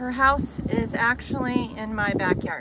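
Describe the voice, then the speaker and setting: A woman's voice, dry with no echo, against noticeable background noise. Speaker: homesteader vlogger. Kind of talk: casual vlog chat. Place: car. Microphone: phone near.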